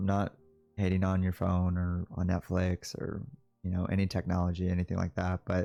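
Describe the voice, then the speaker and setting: A man speaks at a fairly quick pace with a very deep, low pitch and a dark, mellow tone, his loudness very even, in a very clean recording with a silent background and a dry, close sound with no echo. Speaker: vlogger. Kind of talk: personal reflection monologue. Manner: fast; hesitant, filler words.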